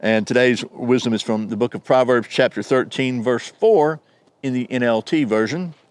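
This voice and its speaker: A man with an American accent talks at a medium pitch with ordinary pitch variation, the sound dry and close with no echo. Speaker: YouTube knife reviewer. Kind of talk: product review. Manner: fast; stumbling.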